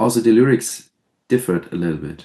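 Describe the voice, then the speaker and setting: Speaking in a German accent, a man has a dark, mellow tone and fairly low pitch. His intonation is lively. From southern Germany. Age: 30s. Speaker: death metal musician. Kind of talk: interview. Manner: halting.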